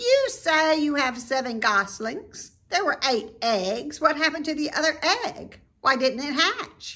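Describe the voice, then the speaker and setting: A put-on character voice sits high in pitch and moves at a fairly slow pace. There are hardly any pauses. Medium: read story.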